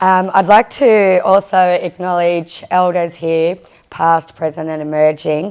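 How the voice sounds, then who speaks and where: In an Australian accent, a woman talks with fairly even intonation. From Australia (First Nations). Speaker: First Nations community leader. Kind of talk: conference panel speech. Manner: halting.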